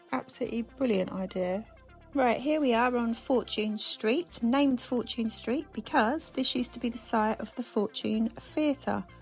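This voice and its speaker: Music plays in the background as a woman talks with a fairly high pitch and ordinary pitch variation. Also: moderate pace. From England. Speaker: travel vlogger. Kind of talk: voiceover narration. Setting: recorded voiceover. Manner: chatty.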